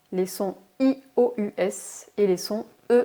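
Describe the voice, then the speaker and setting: This woman's pitch is medium and moves with ordinary variation. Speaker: English teacher. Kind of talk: language lesson narration to camera.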